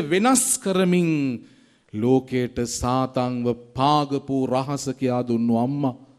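There is only a man's voice, set against quiet surroundings. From Sri Lanka. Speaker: priest. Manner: impassioned, rhythmic preaching with long cascading repetitions; rising oratorical build-ups ending in fervent exhortation. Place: church. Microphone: podium.

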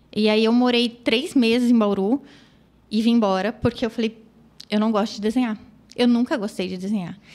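A woman's fairly high-pitched voice at a moderate pace, with fairly even intonation and long, frequent pauses. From interior of São Paulo state, Brazil. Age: 30s. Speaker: children's photographer. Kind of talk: interview, life story.

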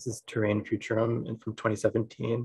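Somewhat breathy and fairly low in pitch, a man speaks with monotone, flat intonation over a quiet background. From USA. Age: 20s. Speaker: photographer. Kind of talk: lecture. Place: home room. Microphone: video call.

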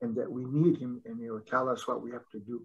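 The voice belongs to a man. It carries a somewhat breathy quality. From southern Arizona, Tohono O'odham Nation. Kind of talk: webinar presentation. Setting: video call.

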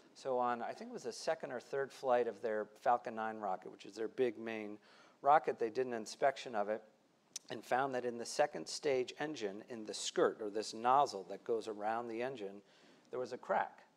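This man has an unremarkable speaking voice at a medium pitch, moving at a moderate pace with ordinary pitch variation and big swings in loudness. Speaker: author on commercial space. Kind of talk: panel discussion. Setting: stage with live audience. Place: stage.

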